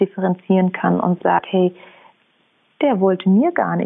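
This woman's pitch is medium. She talks at a moderate speed. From Germany, Munich (Bavaria). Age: 30s. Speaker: entrepreneur and researcher. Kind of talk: interview.

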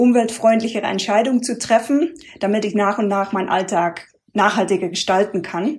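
A woman talks at a moderate pace. She speaks with a non-native accent. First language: not German (speaking German). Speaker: sustainability consultant, former penetration tester. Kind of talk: interview. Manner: hesitant, many filler sounds.

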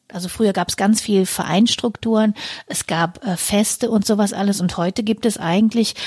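Somewhat breathy and dark, mellow in tone, a woman's voice comes through with a dry, close sound and no echo. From rural Germany. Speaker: podcast co-host. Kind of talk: casual chat.

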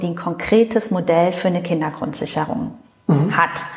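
A woman speaks over noticeable background noise. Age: 40s. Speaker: member of parliament. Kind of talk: interview. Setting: constituency office meeting room.

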